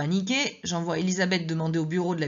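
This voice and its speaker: A woman speaks at a moderate pace in a fairly low voice. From southwest France. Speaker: teacher reading her memoir. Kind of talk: reading aloud.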